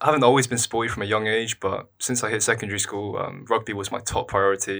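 In a London accent, the speaker talks very fast with a bright, sharp tone and fairly even intonation. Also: man. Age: 20s. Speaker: university student and columnist. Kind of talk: casual interview.

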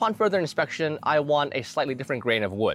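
Speaking very fast, a man with a fairly high pitch and vocal fry sends his voice through very wide pitch swings. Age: 20s. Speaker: fitness youtuber. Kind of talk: casual monologue.

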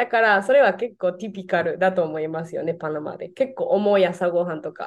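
This woman talks with a Spanish accent at a fairly quick pace. Her pitch is medium, with ordinary variation. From Venezuela. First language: Spanish (speaking Japanese). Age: 20s. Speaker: Japanese teacher. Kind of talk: casual interview chat. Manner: hesitant, many fillers.

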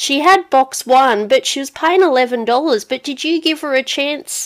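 On a very clean recording with a silent background, a woman with an Australian accent talks at a fairly slow pace in a high pitch. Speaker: podcast host, racing interviewer. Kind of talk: casual interview.

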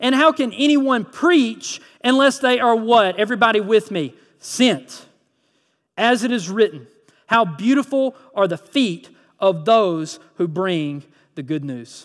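With a Southern US accent, the speaker moves at a fairly slow pace through very wide pitch swings. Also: man, high pitch for a man, very clean recording, silent background. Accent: Southern US (Georgia). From US South, Georgia (Lyons, Vidalia area). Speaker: pastor. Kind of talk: sermon. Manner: animated.

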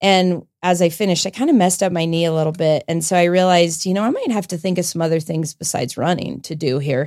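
A very fast American accent, barely pausing, with ordinary pitch variation. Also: woman, fairly low pitch for a woman. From Colorado, US. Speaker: assistant principal and triathlete. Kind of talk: interview.

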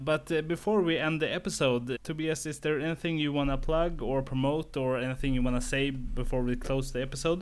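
This man has a normal speaking voice, pitched fairly high. He moves at a fairly quick pace with fairly even intonation. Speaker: podcast host. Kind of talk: casual podcast interview.

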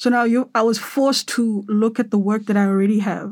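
Somewhat breathy delivery at a moderate pace, with fairly even intonation. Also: woman. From South Africa, Cape Town. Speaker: photographer. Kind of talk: interview. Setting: studio.

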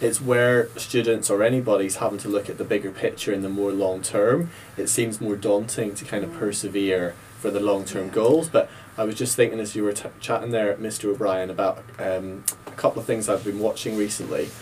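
A man with a Northern Irish accent, fairly low pitch, fairly even intonation and a fairly quick pace, over noticeable background noise. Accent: Northern Irish (Ulster). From Northern Ireland, Ballymena. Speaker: teacher. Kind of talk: casual panel discussion.

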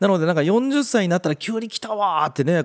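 Very fast talk from a man, the sound dry and close without any echo. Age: 40s. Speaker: podcast host and web director. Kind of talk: casual solo podcast talk. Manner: chatty.

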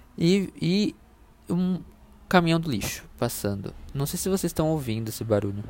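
At a moderate pace, a man with a fairly high voice swings his pitch very widely and leaves long, frequent pauses, all in a very clean recording with a silent background. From Brazil, interior of São Paulo state (Itu). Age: 20s. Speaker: podcast host, content designer. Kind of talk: casual solo monologue. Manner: hesitant, many fillers.

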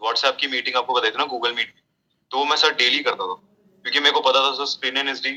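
A man at a medium pitch, bright, sharp tone and moderate pace. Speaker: army officer cadet. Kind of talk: casual interview chat.

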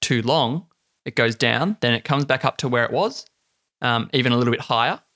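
A man with an Australian accent speaks at medium pitch in a bright, sharp tone, with a dry, close sound and no echo. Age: 20s. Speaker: podcast host. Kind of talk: casual chat.

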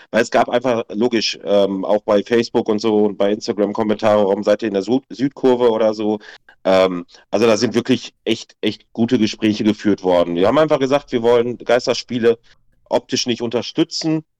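A man with a plain, everyday voice and medium pitch talks at a fairly quick pace with very even loudness, the sound dry and close with no echo. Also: fairly even intonation. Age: 30s. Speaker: football fan club president. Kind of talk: casual chat.

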